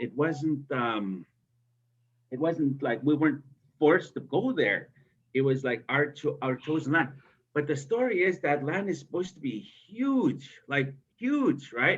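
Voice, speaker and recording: A man with a fairly high pitch speaks at a fairly slow pace, using lively intonation and long, frequent pauses. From Big River First Nation, northern Saskatchewan, Canada. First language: Cree. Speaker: storyteller and university instructor. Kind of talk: storytelling interview. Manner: hesitant with repetitions.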